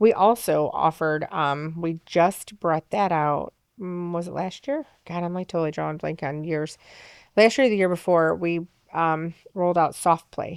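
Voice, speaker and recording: A woman speaks in a fairly low pitch with ordinary pitch variation. Hers is an unremarkable speaking voice, heard over a quiet background. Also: moderate pace, dry, close sound with no echo. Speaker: festival organizer. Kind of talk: casual interview chat.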